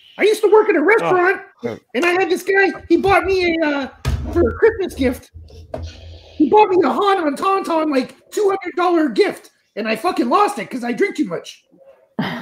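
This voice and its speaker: A cartoonish character voice at a moderate pace, with long, frequent pauses. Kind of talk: crude comic puppet banter. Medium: puppet show. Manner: loud, brash, needy.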